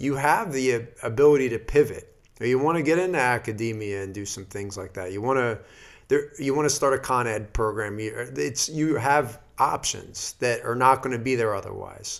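A normal speaking voice, recorded very cleanly against a silent background, moves at a moderate pace and shows ordinary pitch variation. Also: man, medium pitch for a man. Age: 30s. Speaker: physical therapist. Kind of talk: casual chat.

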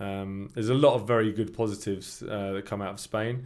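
In a southern English accent, a man with a fairly low pitch speaks at a moderate pace and fairly even intonation. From England, Milton Keynes area. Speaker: long-term expat, English teacher. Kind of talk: casual chat.

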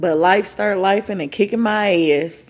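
Vocal fry runs through this woman's speech, delivered with an American accent. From Michigan. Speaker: podcast host. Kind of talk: casual monologue.

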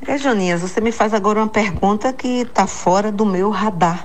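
Over noticeable background noise and audible room echo, a woman speaks fairly slowly with lively intonation. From Bahia, Brazil (Itapeipu, near Jacobina). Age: 60s. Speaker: executive coach and author. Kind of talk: radio interview.

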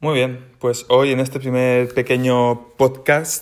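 A man speaks at a medium pitch in a monotone, flat delivery. His pace is fairly slow. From Spain, Valencia. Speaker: triathlete. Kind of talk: casual monologue.

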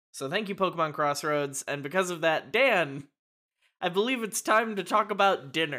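A man's high, bright, sharp voice with lively intonation and a moderate pace, in a very clean recording with a silent background. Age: 20s. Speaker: podcast co-host and editor. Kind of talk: casual chat.

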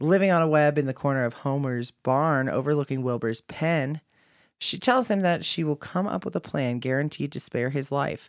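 In a very clean recording with a silent background, the speaker talks at a moderate pace with an American accent. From Kansas. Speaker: podcast host and producer. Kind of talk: reading aloud plot summary; casual chat.

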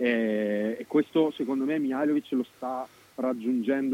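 A man's dark, mellow tone comes through with a dry, close sound with no echo. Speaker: football pundit. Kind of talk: casual chat. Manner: lively.

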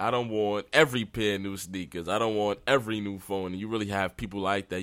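The speech runs at a moderate pace on a very clean recording with a silent background. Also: man. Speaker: podcaster. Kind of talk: casual solo rant. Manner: gets emotional, raises voice on sensitive topics.

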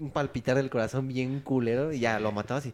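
Here is a man with an unremarkable speaking voice. His pitch is fairly high, and it varies in an ordinary way. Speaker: podcast co-host. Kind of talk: casual chat.

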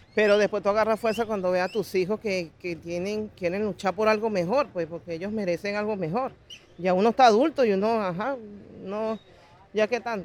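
A woman's plain, everyday voice at medium pitch, fairly quick in pace, with ordinary pitch variation. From Venezuela. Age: 40s. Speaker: migrant. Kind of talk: interview testimony.

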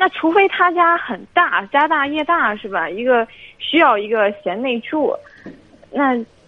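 Over noticeable background noise, a woman with a high pitch speaks at a fairly slow pace with very wide pitch swings. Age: 20s. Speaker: flight attendant. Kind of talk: call-in advice. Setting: phone call.

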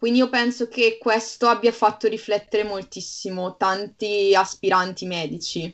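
A woman with a plain, everyday voice speaks at a fairly high pitch and a moderate pace. Her intonation is fairly even, and there are hardly any pauses. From Bergamo, northern Italy. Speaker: medical student. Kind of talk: casual chat.

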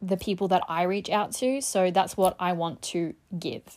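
In a very clean recording with a silent background, a woman talks at a fairly slow pace with a medium pitch and ordinary pitch variation. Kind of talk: solo monologue. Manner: rambling, jumps between topics.

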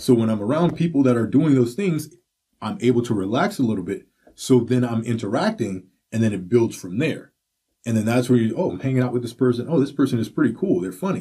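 A man's very fast, somewhat breathy voice at a medium pitch, dark and mellow in tone, with lively intonation. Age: 40s. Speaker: podcast host. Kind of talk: casual chat.

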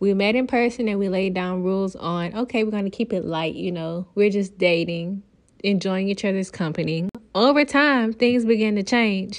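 Against a quiet background, a woman talks at a medium pitch and moderate pace with ordinary pitch variation. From Louisiana. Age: 20s. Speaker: podcast co-host. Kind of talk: casual chat.

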